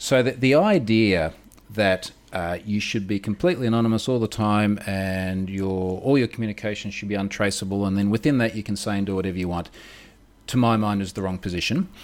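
A man with an Australian accent talks at a fairly quick pace in a fairly low pitch. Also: ordinary pitch variation. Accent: Australian, audible. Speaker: security researcher. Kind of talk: interview conversation.

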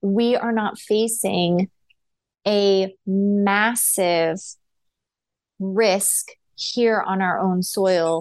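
With an American accent, a woman talks in a medium pitch. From United States. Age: 40s. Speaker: nurse and podcast host. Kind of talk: solo commentary monologue.

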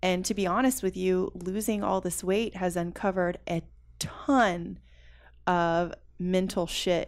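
A woman with an American accent has an ordinary speaking voice at a medium pitch, with ordinary pitch variation. She talks at a fairly slow pace on a very clean recording with a silent background. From US South. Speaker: fitness enthusiast who reversed diabetes. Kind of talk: interview conversation.

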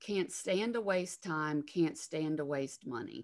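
A woman's very slow, fairly low voice in a Southern US accent, with very wide pitch swings. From Alabama, US South. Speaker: counselor and former attorney. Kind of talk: casual interview.

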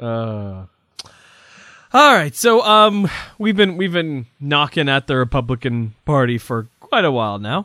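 Animated and fairly slow, a man speaks with a fairly high pitch and very wide pitch swings. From Providence, Rhode Island. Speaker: podcast host. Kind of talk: casual panel discussion on politics. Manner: animated, joking.

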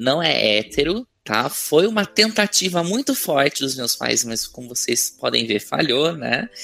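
A man speaks at a fairly slow pace with a bright, sharp tone. His intonation is lively, and vocal fry runs through his voice. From Brazil, São Paulo. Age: 30s. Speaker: communications researcher and author. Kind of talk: casual interview.

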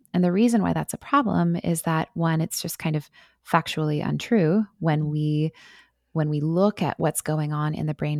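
Soft-spoken, a woman with a very deep, low pitch talks at a moderate pace with ordinary pitch variation. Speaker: author. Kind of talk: interview.

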